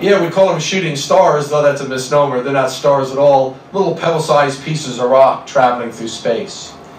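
At a moderate pace, a man speaks with ordinary pitch variation, with audible room echo and light background noise. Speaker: presenter. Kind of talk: lecture. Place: hall.

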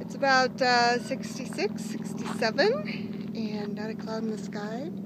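Very slow speech from a woman with fairly even intonation, dry with no echo, over noticeable background noise. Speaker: daily vlogger. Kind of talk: casual vlog chat. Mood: cheerful, proud. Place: open country. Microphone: phone near.

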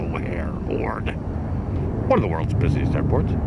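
A man's voice over loud background noise, dry with no echo. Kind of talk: casual live commentary. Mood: relaxed, enthusiastic, self-mocking. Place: waterside. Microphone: phone near.

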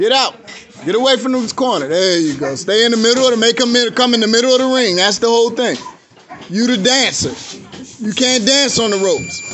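A man talks at a fairly quick pace with ordinary pitch variation over light background noise. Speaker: boxing coach. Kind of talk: shouted coaching instructions. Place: gym. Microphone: phone near.

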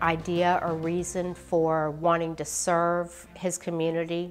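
A woman's fairly low, monotone voice with flat intonation, faint music behind it. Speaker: candidate. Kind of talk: interview answer. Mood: earnest, supportive. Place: home room.

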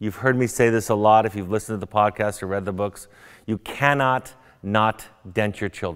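A man with an American accent, a plain, everyday voice, fairly low pitch, fairly quick pace and fairly even intonation against a quiet background. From US West, Orange County, California; California. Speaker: psychotherapist; guest. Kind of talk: lecture. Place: hall. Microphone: lapel.

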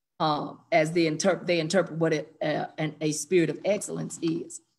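With a quiet background behind her, a woman talks using ordinary pitch variation. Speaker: church member in Bible study. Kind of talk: Bible study discussion. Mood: earnest, reflective. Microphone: video call.

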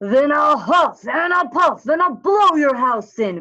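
This is a put-on character voice, growling and pitched high. It comes at a fairly slow pace in a raised, projected voice.

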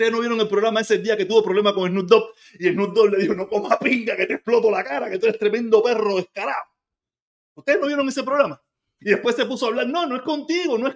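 Against a quiet background, a man speaks at a very fast pace with extremely high pitch and lively intonation. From Cuba. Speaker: commentator. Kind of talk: angry political rant. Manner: ranting, sarcastic; loud, heated, mocking. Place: kitchen. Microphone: phone near.

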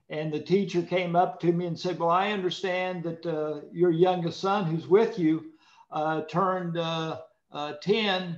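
A man with a high pitch talks at a fairly slow pace. The room echo is audible, though the background stays quiet. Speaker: former politician. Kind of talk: panel discussion. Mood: warm, friendly. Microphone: video call.

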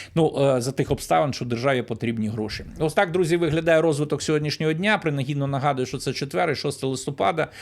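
Moderate pace and ordinary pitch variation in a man's unremarkable speaking voice, fairly high in pitch. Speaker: news commentator. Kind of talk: solo news commentary. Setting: recorded video.

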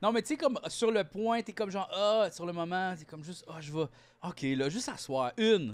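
Pitched high, a man talks at a fairly quick pace with very wide pitch swings and big swings in loudness. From Quebec. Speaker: comedian podcast co-host. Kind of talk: casual chat. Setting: studio. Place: home room. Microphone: studio mic.

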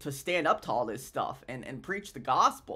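Lively intonation marks a man's speech in quiet surroundings. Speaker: vlogger sharing a faith story. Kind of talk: casual vlog chat. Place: home room. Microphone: webcam.

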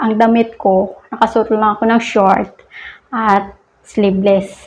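A woman with an unremarkable speaking voice, a fairly high pitch, fairly even intonation and a fairly slow pace. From Philippines. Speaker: vlogger. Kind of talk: casual vlog talk. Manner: laughs often.

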